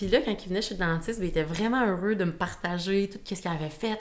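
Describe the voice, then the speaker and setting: A woman's voice at medium pitch. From Quebec, Shawinigan. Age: 20s. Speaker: sales representative. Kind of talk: casual chat.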